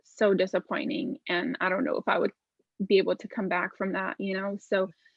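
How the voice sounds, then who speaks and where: A woman speaks with a Lithuanian accent. Her intonation is lively. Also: medium pitch for a woman, fairly quick pace. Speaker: visual artist. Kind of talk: interview.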